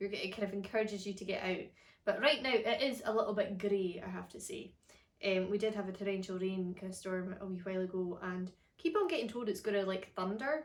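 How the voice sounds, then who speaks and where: A woman in a Scottish accent at medium pitch, talking at a fairly quick pace. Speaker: harp teacher. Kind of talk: casual chat. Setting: at home.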